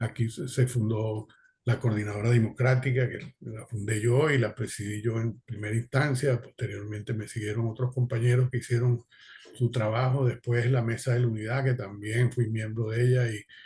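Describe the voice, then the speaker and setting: A man's dark, mellow tone, somewhat breathy, at a moderate pace with monotone, flat intonation. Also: medium pitch for a man. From Venezuela. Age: 70s. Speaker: exiled political activist. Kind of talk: panel discussion testimony. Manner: halting, many fillers.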